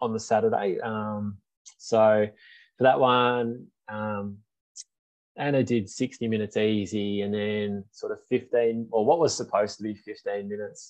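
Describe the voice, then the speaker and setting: A man with a fairly low pitch and an Australian accent, over a quiet background. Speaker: running podcast host. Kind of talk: casual chat.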